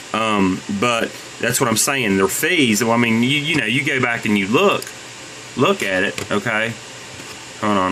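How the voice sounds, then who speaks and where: There is noticeable background noise and audible room echo. A man speaks fairly quickly with ordinary pitch variation. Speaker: YouTuber selling on eBay. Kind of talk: screen-recorded rant tutorial. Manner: halting, many fillers and repeats.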